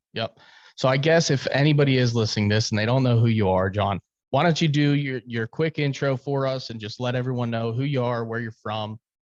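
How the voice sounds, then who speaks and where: Over a quiet background, a man in an unremarkable speaking voice talks at a fairly quick pace with medium pitch and ordinary pitch variation. The sound is dry and close, with no echo. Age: 30s. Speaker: podcast host. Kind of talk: casual chat.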